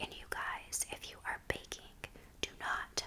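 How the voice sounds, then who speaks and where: Whispering from a woman, set against a good deal of background noise. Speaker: ASMR creator and parent of a toddler. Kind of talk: ASMR baking voiceover, whispered, casual talk to camera. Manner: whispered, soft, friendly.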